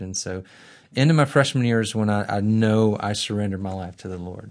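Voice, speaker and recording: At a moderate pace, a man speaks with an Alabama accent and fairly low pitch. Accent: Southern US (Alabama). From Birmingham, Alabama. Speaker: divinity school center director and former missionary. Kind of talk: interview. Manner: halting, repeats words.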